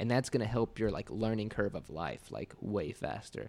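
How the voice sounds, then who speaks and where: A man with an unremarkable speaking voice, medium in pitch, with ordinary pitch variation and a moderate pace. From Indiana, small rural town. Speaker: digital agency owner and entrepreneur. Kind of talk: casual interview chat. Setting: podcast studio.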